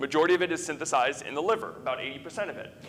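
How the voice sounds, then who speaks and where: Audible echo from the room hangs around a man as he talks. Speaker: physician lecturer. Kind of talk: lecture. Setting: conference room with audience. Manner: fast; filler-heavy, conversational.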